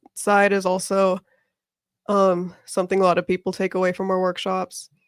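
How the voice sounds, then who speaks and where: A woman speaks with an American accent. The sound is dry and close, with no echo. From US West Coast, Orange County, California. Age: 20s. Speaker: volunteer for a civic organization. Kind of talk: radio interview.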